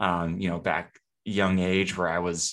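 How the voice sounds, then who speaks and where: A man with a very deep, low voice and a West Coast accent, at a moderate pace over a quiet background. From Seattle, US Pacific Northwest. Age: 20s. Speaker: video producer. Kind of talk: casual chat.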